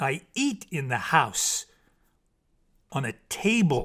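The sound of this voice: On a very clean recording with a silent background, a man uses a put-on character voice with a fairly high pitch, a fairly bright tone, big pitch swings and a slow pace.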